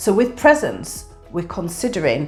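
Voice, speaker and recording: In a Yorkshire accent, a woman speaks at a fairly slow pace. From northern England, Yorkshire. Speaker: YouTuber. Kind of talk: tutorial. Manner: hesitant with fillers.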